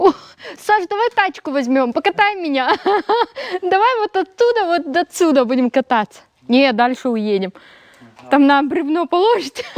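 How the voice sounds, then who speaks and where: A woman talks in a high pitch. Her voice moves in very wide pitch swings. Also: moderate pace, dry sound with no echo. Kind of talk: casual vlog chat. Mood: playful, laughing. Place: open country. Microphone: phone near.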